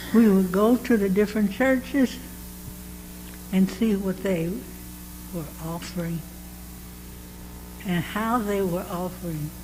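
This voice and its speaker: A woman's fairly slow speech with long, frequent pauses and ordinary pitch variation, in audible room echo with noticeable background noise. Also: medium pitch for a woman. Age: 90s. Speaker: church member being interviewed. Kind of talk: interview. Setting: church.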